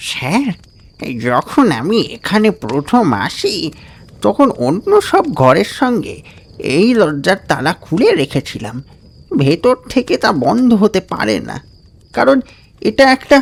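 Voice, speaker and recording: A man speaks at a fairly slow pace in a put-on character voice pitched high. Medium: audio drama. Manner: respectful, addresses master as sir.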